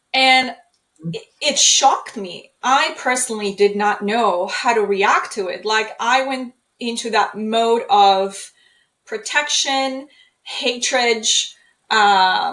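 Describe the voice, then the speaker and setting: At a very slow pace, a woman talks with a fairly high pitch. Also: ordinary pitch variation. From Poland. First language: Polish. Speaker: trauma healing speaker. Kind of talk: interview.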